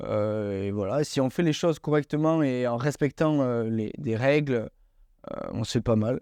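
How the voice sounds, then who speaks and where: The man's voice has a medium pitch and a dark, mellow tone, with ordinary pitch variation. The sound is dry and close with no echo, against a quiet background. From southwestern France (Hautes-Pyrénées). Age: 20s. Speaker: amputee athlete. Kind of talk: interview.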